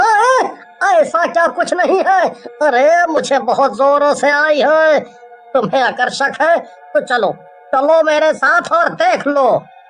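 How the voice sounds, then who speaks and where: This is a cartoonish character voice. It moves at a fairly slow pace. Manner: whiny, rustic.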